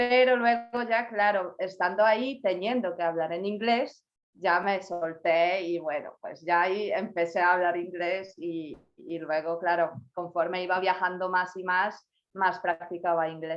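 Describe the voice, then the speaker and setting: A woman with a Polish accent speaks fairly slowly at a medium pitch with ordinary pitch variation. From Poland. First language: Polish (speaking Spanish). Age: 20s. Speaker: university graduate, language learner. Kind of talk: interview.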